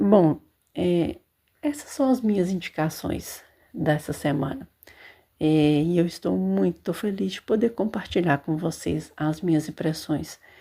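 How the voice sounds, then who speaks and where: Soft-spoken and fairly slow, a woman talks in a fairly low voice with a dark, mellow tone. Her intonation is lively. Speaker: podcast host reviewing books and series. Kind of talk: casual monologue. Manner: hesitant fillers.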